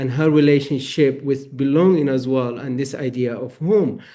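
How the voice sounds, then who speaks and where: At a moderate pace, a man with a non-native accent talks in a fairly high pitch with a dark, mellow tone. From Eritrea. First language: not English. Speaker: novelist. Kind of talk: panel discussion.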